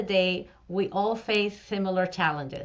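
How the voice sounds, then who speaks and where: A woman's medium-pitched voice with a Spanish accent. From Venezuela. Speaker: fractional CFO, business owner. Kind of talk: interview. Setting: live stream.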